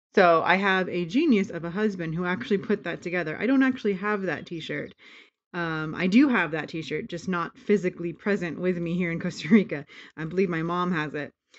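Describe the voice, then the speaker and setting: Fairly quick and fairly low-pitched, a woman has an unremarkable speaking voice with ordinary pitch variation. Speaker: family vlogger. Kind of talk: casual vlog narration.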